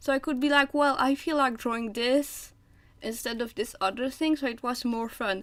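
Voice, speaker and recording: A woman's high voice at a moderate pace, with fairly even intonation, in a very clean recording over a silent background. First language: French. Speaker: artist streaming drawing. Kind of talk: casual live-stream chat while drawing. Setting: live stream. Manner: hesitant, many fillers and repeats.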